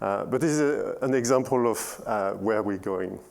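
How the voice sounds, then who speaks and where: A man with a French accent speaks at a medium pitch and a fairly slow pace. His pitch varies in an ordinary way, and room echo can be heard. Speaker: software engineer. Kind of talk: conference talk. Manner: halting, many fillers.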